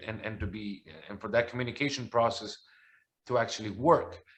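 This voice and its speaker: Here a man talks at a fairly quick pace with a Spanish accent. His pitch sits in the medium range for a man. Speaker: soccer commentator. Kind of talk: interview. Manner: halting, many repeated words.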